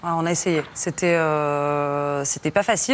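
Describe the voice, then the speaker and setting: There is noticeable background noise. A woman speaks with a fairly low pitch and ordinary pitch variation. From France. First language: Russian (speaking French). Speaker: journalist, documentary maker. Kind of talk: tv studio interview. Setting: tv studio. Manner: halting, many hesitations.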